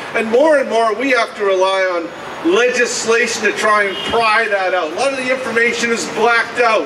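A man's extremely high-pitched, raised and projected voice at a moderate pace, with ordinary pitch variation, very even loudness and noticeable background noise. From western Canada. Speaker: environmental campaigner. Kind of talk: rally speech. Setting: outdoor rally with crowd. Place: street. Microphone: camera far.

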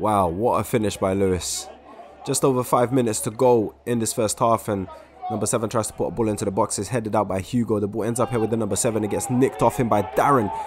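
A man talks at a very fast pace in an animated, enthusiastic tone with a medium pitch. Crowd noise can be heard behind him. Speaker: sports commentator. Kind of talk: sunday league match commentary, live play-by-play. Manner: animated, quick-paced play-by-play; enthusiastic, excitable on goals.

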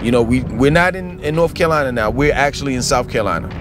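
Clear music plays behind a man who talks at a fairly quick pace, his voice dry with no echo. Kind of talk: casual vlog chat. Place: car. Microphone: phone near.

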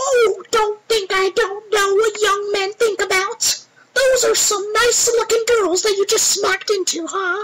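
Putting on a character voice, a man talks at a moderate pace with an extremely high pitch. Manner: teasing, knowing.

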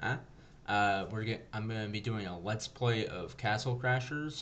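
With a normal speaking voice, a man talks at a fairly low pitch with ordinary pitch variation over light background noise. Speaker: gaming video host. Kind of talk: casual let's play intro chat. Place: home room.

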